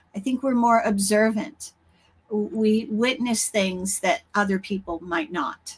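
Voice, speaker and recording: At a fairly slow speed, a woman talks in a somewhat breathy voice. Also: fairly high pitch for a woman, ordinary pitch variation. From Canada (Toronto). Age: 70s. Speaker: spiritual author and intuitive healer. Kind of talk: podcast interview.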